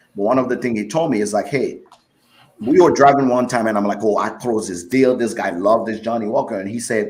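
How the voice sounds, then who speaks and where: A man at a fairly quick pace, medium in pitch, with ordinary pitch variation and audible room echo. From West Africa. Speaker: whiskey expert. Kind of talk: casual interview chat.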